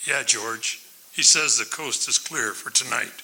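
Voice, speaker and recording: A man does a raspy, put-on character voice in a medium pitch. He goes at a fairly slow pace. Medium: stage play. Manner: terse, controlled.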